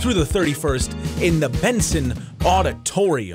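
A man speaks over clear music in the background. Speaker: college radio announcer. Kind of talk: college radio station break. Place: studio.

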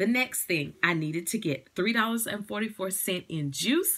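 Her medium-pitched voice has a fairly bright tone and a slightly husky edge as the woman moves at a moderate pace with lively intonation.

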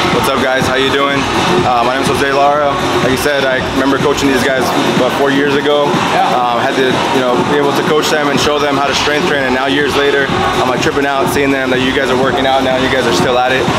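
Loud background noise fills the clip as a man rattles off his words very fast. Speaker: fitness coach. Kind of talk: casual vlog chat. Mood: warm, grateful. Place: gym. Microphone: phone near.

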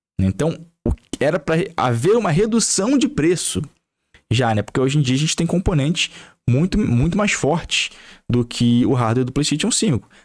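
A man with a Brazilian accent talks at a moderate pace and a fairly high pitch. His pitch swings very widely, and the background is quiet. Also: long, frequent pauses, very even loudness. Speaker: gaming YouTuber. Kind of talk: angry rant, sweary political tirade about prices and taxes. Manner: heated, sarcastic, swearing, exasperated, repeating himself. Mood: exasperated, irreverent. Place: home room. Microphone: studio mic.

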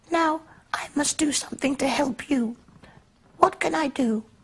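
A squeaky, high-pitched put-on character voice. It moves along at a moderate pace.

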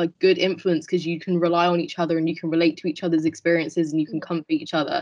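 Against a quiet background, a woman with a British accent speaks at a fairly low pitch in a monotone, flat intonation. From England. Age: 20s. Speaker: veterinary student; panelist. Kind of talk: panel discussion. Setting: video call. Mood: calm, thoughtful. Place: home room. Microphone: video call.

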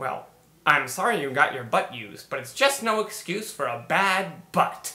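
In a cartoonish character voice at a middle pitch, the speaker makes very wide pitch swings. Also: moderate pace. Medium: puppet show.

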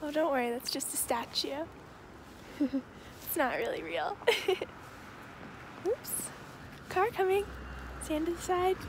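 Soft-spoken and extremely high-pitched, a woman talks fairly slowly with long, frequent pauses and very wide pitch swings, in dry sound with no echo and noticeable background noise. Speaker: ASMR creator. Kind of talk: ASMR roleplay. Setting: outdoors. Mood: cheerful, playful. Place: open country. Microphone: phone near.

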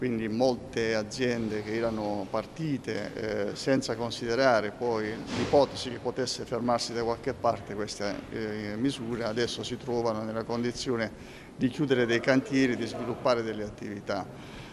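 A man's monotone, flat delivery at a moderate pace amid noticeable background noise. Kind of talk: interview answer. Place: hall.

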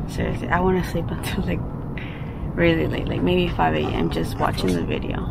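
Loud background noise fills the recording. A woman speaks through it at a moderate pace. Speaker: vlogger. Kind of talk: casual vlog chat. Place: garden. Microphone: phone near.

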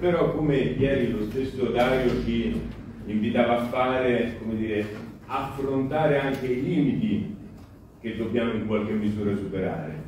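A man speaks with long, frequent pauses in a room with strong echo and light background noise. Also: ordinary pitch variation, moderate pace. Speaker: political activist; speaker. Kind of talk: panel discussion. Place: hall.

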